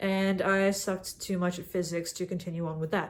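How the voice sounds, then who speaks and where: This woman speaks at a fairly quick pace. Her pitch sits in the medium range. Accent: Australian. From Australia. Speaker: young consultant vlogger. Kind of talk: casual monologue vlog. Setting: in a cabin.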